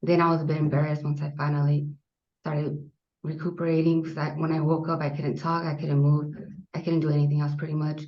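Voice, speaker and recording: A woman's very deep, low voice, somewhat breathy and monotone, at a very fast pace with audible room echo. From US Southwest, South Phoenix, Arizona. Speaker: army veteran. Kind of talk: interview.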